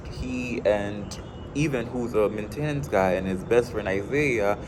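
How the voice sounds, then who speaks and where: Audible room echo and noticeable background noise around a man's speech. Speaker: college student reading a novel aloud. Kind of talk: casual book summary and reading aloud. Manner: halting, many fillers and repeats.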